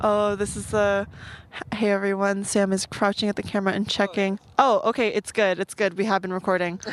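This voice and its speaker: Her medium-pitched voice moves at a fairly quick pace with monotone, flat intonation, clearly a woman speaking. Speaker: podcast guest, also has own podcast. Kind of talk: casual chat. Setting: outdoors at a park, filmed.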